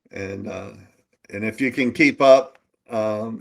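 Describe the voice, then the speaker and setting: Very slow and fairly even in intonation, a man speaks at medium pitch. The sound is dry and close, with no echo. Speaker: coding bootcamp instructor. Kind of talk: live coding tutorial. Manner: casual, hesitant with fillers.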